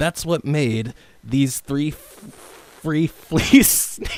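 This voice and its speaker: Amid noticeable background noise, a man with a fairly high pitch speaks at a very slow pace with lively intonation. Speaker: voice actor. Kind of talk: tongue twister reading. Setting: studio.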